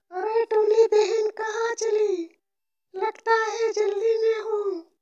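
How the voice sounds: In a cartoonish character voice, the speaker squeaks along at a very slow pace.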